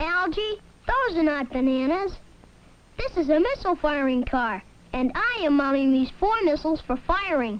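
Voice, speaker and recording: This put-on character voice is high-pitched and cheerful, moving along at a moderate pace. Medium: voice reel. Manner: cheerful, salesmanlike.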